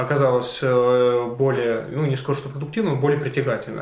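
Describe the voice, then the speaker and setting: The man's voice sits at a medium pitch with fairly even intonation. Audible room echo surrounds it. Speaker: interviewer. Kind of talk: interview. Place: cafe.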